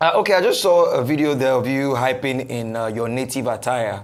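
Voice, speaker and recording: At a moderate pace, a man speaks at medium pitch with ordinary pitch variation in a room with audible echo. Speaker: TV news presenter. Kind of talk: TV interview.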